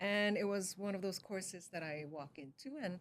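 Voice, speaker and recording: The pace is moderate. The pitch shows ordinary variation. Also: woman. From Korea, moved to Canada at sixteen. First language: Korean. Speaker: communication scientist and educator. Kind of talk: interview.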